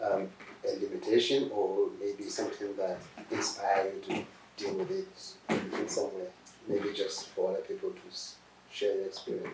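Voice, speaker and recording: A man with a Nigerian accent at a moderate pace, against noticeable background noise. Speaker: professor, doctor interviewing a patient. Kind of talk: interview. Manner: hesitant, many fillers.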